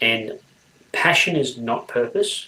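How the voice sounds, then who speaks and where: A man is speaking. He has an Australian accent. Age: 40s. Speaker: people development professional. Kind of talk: interview.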